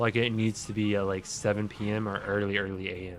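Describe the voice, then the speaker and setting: Music playing behind a man's fairly low-pitched voice. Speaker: video game streamer. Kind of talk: casual chat. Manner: loud.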